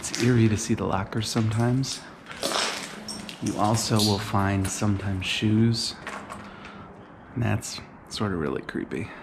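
The voice moves at a moderate pace with long, frequent pauses. Noticeable background noise runs underneath. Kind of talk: casual vlog chat. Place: empty room. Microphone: phone near.

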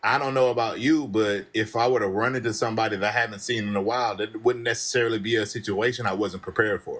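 A man talks at a very fast pace with hardly any pauses. His intonation stays fairly even. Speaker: caller; live stream host. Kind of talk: debate. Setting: video call. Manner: casual. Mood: argumentative, explaining. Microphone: studio mic.

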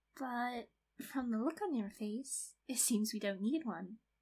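Her voice is an unremarkable speaking voice, with a fairly high pitch for a woman, ordinary pitch variation and a moderate pace. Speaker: ASMR creator. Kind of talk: asmr roleplay. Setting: close-mic, one-to-one roleplay in a bedroom. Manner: soft, playful, teasing, giggly; intimate, slightly possessive yandere act.

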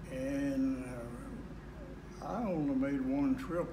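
Background noise is clearly noticeable. Through it, a man talks. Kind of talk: interview answer. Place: home room.

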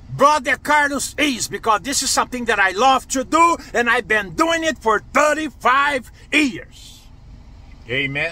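A man projects a raised voice with a bright, sharp tone at a fairly slow pace, in a dry sound with no echo. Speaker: online preacher. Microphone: phone near.

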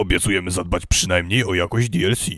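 A man with a very deep, low voice speaks at a moderate pace with fairly even intonation. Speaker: voice actor; announcer. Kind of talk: movie trailer.

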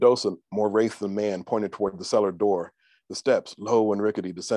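The speaker uses an unforced reading voice. Intonation is fairly even, and the background is quiet.

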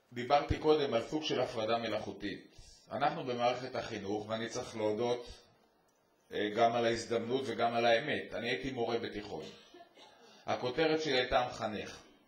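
At a moderate pace, a man speaks at medium pitch with fairly even intonation and audible room echo. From Israel. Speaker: army general; educator speaking at a conference. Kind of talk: panel talk.

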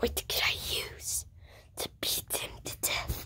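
A raspy, cartoonish character voice comes through light background noise. It moves at a fairly slow pace. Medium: puppet.

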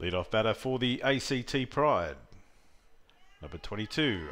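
With an Australian accent and vocal fry, the speaker moves at a fairly slow pace, pitch swinging very widely between long, frequent pauses. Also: man. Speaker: sports commentator. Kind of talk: live sports commentary, play-by-play. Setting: softball tournament venue commentary.

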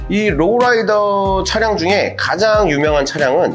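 A man is speaking. Music plays in the background. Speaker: hip hop culture YouTuber. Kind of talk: casual educational talk to camera.

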